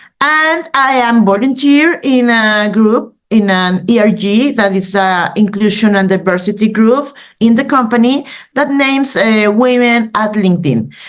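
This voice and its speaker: The delivery is fairly slow, with very even loudness and ordinary pitch variation. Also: woman, fairly high pitch for a woman. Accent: Mexican. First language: Spanish. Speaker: news editor. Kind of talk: presentation. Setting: video call. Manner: halting, many fillers.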